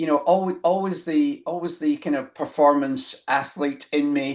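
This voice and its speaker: At a fairly slow pace, a man with a Scottish accent talks with fairly even intonation. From Scotland, Glasgow. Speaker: business founder, accountant. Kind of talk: interview conversation. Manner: halting, many fillers.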